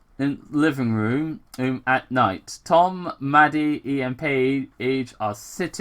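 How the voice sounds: Intonation stays fairly even as a natural voice reads.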